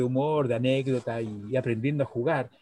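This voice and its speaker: The speech is somewhat breathy with fairly even intonation. The pace is moderate. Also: man. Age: 60s. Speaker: psychologist and chess teacher. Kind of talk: casual interview.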